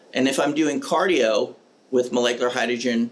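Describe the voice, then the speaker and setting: This is a man with a medium-pitched voice. His pitch varies in an ordinary way. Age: 60s. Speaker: medical doctor. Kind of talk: interview. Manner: animated.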